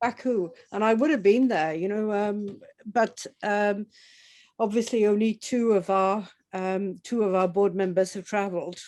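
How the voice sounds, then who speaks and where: A woman speaks at a medium pitch with fairly even intonation. Her pace is fairly slow, and the background is quiet. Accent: Welsh. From Wales, Swansea area. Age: 60s. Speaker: football association board member. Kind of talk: conversational interview.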